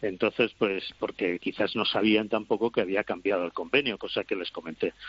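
A man talks at a moderate pace in a normal speaking voice with fairly even intonation. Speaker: handball pundit. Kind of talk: debate panel.

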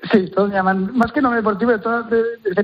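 A man talks at a very fast pace. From Catalonia, Terrassa. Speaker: church sports ministry organizer, former elite hockey player. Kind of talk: interview.

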